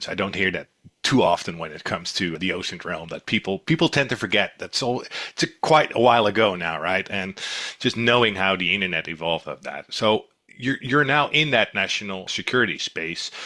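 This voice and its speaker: A man with a Dutch accent, fairly low-pitched, with a bright, sharp tone and lively intonation, on a very clean recording with a silent background. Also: fairly quick pace. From Netherlands. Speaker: intelligence company director, podcast host. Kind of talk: podcast interview.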